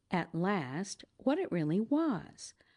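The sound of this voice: An unforced reading voice carries the whole clip.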